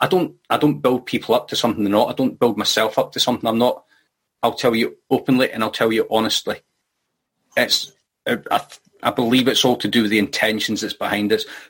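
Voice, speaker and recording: Speaking at a fairly quick pace, a man talks in a Scottish accent. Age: 40s. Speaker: recovery group member. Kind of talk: group discussion on video call. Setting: video call.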